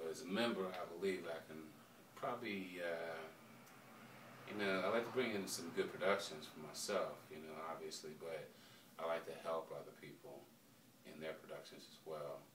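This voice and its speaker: With a very deep, low pitch, a man talks at a moderate pace with ordinary pitch variation, big swings in loudness and long, frequent pauses, amid audible room echo and noticeable background noise. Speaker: rapper. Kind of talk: interview.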